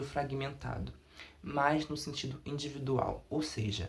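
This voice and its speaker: A man's somewhat breathy voice at medium pitch and a fairly slow pace. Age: 20s. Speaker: undergraduate researcher. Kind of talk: academic presentation.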